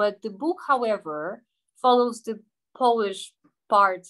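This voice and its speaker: In a quiet background, a woman talks at a moderate pace with fairly high pitch. She has an ordinary speaking voice with ordinary pitch variation. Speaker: seminar co-organizer and moderator. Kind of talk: moderating an academic seminar. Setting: online video seminar.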